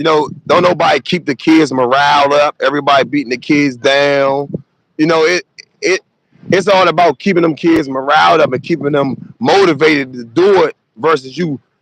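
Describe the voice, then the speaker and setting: A man's normal speaking voice, fairly high in pitch, with ordinary pitch variation, a moderate pace, and a dry, close sound without echo. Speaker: youth football coach. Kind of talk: casual interview. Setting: live stream.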